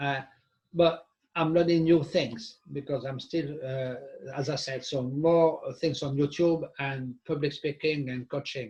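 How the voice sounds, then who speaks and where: The voice is somewhat breathy, with fairly even intonation. The pace is fairly slow. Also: man, fairly high pitch for a man. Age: 60s. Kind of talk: casual discussion. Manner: halting.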